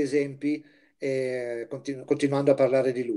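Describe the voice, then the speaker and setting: The man's tone is dark and mellow, at a moderate pace. The background is quiet. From Liguria, Chiavari area; Liguria, Italy. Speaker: volunteer teacher giving an art history lecture. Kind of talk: lecture. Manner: halting, with frequent fillers. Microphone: video call.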